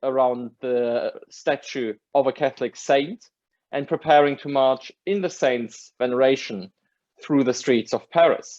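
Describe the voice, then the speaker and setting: A man at a medium pitch and moderate pace, in a German accent. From Germany. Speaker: academic lecturer. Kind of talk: lecture. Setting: video call.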